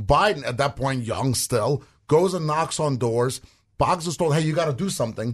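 A man speaks with a somewhat breathy voice at a fairly high pitch for a man. His pace is moderate, his pitch varies in an ordinary way, and the background is quiet. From Russia. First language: Russian. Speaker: political commentator, co-host. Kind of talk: casual political chat.

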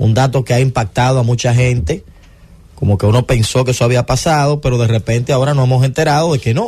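At a very fast pace, a man with a medium pitch talks in a dark, mellow tone that is somewhat breathy, with ordinary pitch variation. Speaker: sports radio host. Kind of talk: sports talk radio. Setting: studio.

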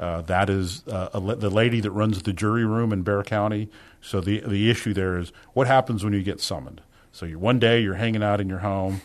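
With a plain, everyday voice, a man speaks at a fairly quick pace and fairly low pitch, his intonation fairly even. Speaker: criminal district judge. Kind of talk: radio interview. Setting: radio studio.

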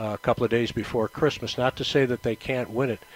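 With an American accent, a man talks at a fairly quick pace and medium pitch in a plain, everyday voice, the sound dry and close with no echo. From upstate New York. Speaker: sports broadcaster. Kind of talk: casual chat. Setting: live remote broadcast at a store.

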